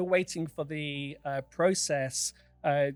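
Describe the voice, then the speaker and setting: Music plays in the background as a man with a British accent speaks at a very slow pace. His intonation is fairly even. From United Kingdom. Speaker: charity founder. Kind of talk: interview podcast. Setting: studio.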